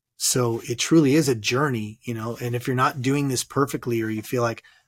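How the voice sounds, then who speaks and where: With a Californian accent, a man speaks at a medium pitch and moderate pace in a very clean recording with a silent background. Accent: Californian American. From Southern California. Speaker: author and transformational coach. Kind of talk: interview about personal loss.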